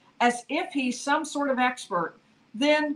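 A woman's words unfold at a fairly slow pace. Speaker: legal commentator. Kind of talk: commentary. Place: home room.

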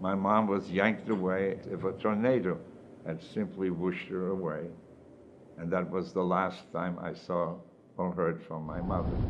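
At a moderate pace, a man with a very deep, low voice speaks in a monotone, flat delivery. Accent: German. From Germany. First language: German. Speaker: Holocaust survivor. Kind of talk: personal testimony.

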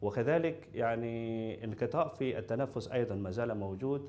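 The man talks very slowly. His pitch variation is ordinary. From Indonesia. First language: Indonesian (speaking Arabic). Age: young. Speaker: patient, university student. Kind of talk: testimony; interview answer. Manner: halting. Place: studio.

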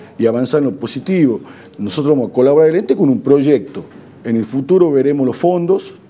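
A man with lively intonation at a fairly quick pace. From Argentina. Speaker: provincial government official, former legislator. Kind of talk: TV interview. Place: studio. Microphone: lapel.

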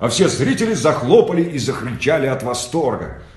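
The voice moves through very wide pitch swings, with audible room echo around it. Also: man. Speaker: audiobook reader. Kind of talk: children's story reading. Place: home room. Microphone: phone near.

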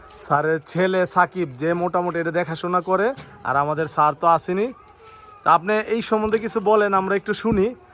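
A man's high-pitched voice with ordinary pitch variation, against noticeable background noise. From Bangladesh, Sarail, Brahmanbaria. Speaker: video blogger. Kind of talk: casual interview.

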